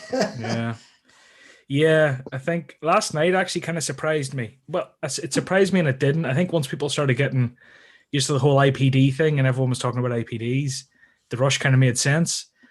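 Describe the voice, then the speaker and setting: A somewhat breathy man with an Irish accent, fairly high in pitch, at a fairly quick pace with ordinary pitch variation. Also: quiet background. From Ireland. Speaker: guest in a trading community chat. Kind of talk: casual live stream chat.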